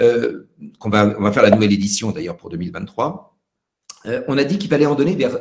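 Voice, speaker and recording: Very fast bursts split by long, frequent pauses come from a man with very wide pitch swings and big swings in loudness. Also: medium pitch for a man. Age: 60s. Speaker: pediatric nutrition professor. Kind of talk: Q&A at a web conference. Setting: web conference. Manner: halting, many hesitations.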